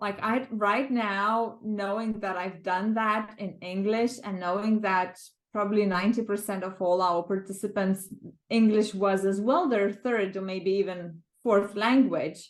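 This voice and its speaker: Someone with a Lithuanian accent speaks at a fairly slow pace with fairly even intonation. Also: woman, medium pitch for a woman. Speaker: world record project co-organiser. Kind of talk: interview reflection. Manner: halting, many fillers.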